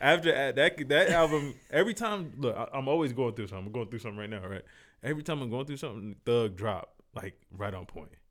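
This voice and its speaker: Recorded very cleanly with a silent background, a man with an American accent talks very fast at a medium pitch, with very wide pitch swings and big swings in loudness. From US South, Fayetteville, North Carolina. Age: 30s. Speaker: rapper and producer. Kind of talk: casual chat.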